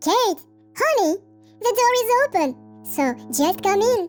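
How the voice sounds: A woman performs a squeaky, cartoonish character voice. Faint music plays in the background. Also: fairly slow pace.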